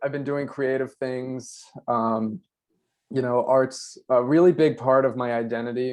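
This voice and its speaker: At a fairly slow pace, a man speaks with an American accent at a medium pitch. He has a normal speaking voice. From US Mid-Atlantic, Delmarva Peninsula. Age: 20s. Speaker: filmmaker and festival creative director. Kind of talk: presentation over video call.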